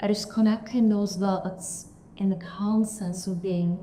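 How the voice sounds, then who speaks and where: A woman speaks at a medium pitch with a non-native accent. Her intonation is monotone and flat, and her pace is fairly slow. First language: not English. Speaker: manager, panelist. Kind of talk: panel discussion. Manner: halting.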